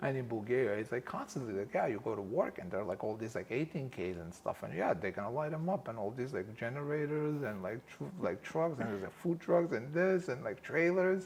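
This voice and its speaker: A man's medium-pitched voice with a Macedonian accent, fairly quick with hardly any pauses, very wide pitch swings, and noticeable background noise. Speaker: film producer and director. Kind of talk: casual interview. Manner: animated.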